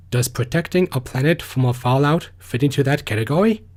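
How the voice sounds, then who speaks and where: A man with a fairly high pitch speaks in a somewhat breathy voice with ordinary pitch variation. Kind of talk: fan theory talk. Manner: soft-spoken.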